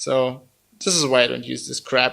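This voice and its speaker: A man speaks in a German accent. His pace is fairly slow. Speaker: tech reviewer. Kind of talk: product review. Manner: casual, animated.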